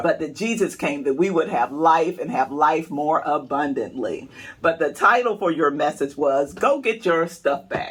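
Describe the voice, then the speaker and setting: In a plain, everyday voice, a man speaks at a moderate pace with fairly high pitch and lively intonation. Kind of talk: casual talk to camera, banter with co-host. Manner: playful, joking.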